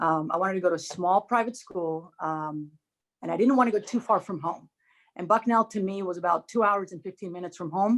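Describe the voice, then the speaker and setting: A woman with a Spanish accent speaks at a fairly quick pace and medium pitch, with ordinary pitch variation, big swings in loudness, and a quiet background. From Dominican Republic. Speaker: former college tennis player, alum. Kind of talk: casual reminiscing on a group video chat.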